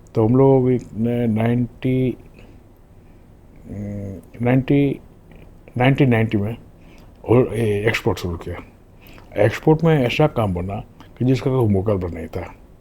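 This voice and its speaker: Long, frequent pauses break up the speech of a man with a medium pitch, a dark, mellow tone, and ordinary pitch variation. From Gujarat, India (Rajkot). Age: 80s+. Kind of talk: interview, life story. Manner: halting, with fillers.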